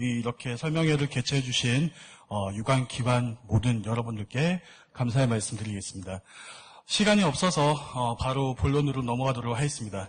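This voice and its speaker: A man talks at a moderate pace and medium pitch, sounding somewhat breathy. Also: lively intonation. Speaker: seminar speaker on cosmetics export. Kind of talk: lecture.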